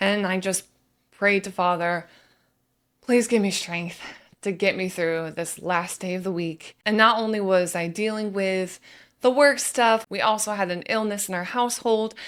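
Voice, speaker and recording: The recording is very clean, with a silent background. A normal speaking voice moves at a moderate pace with fairly even intonation. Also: woman, medium pitch for a woman. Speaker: faith vlogger. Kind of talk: personal testimony.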